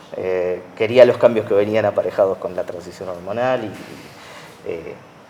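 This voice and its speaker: A man's voice over noticeable background noise. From Argentina, Buenos Aires area. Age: 30s. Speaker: math teacher and musical theatre actor. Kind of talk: interview. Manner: halting.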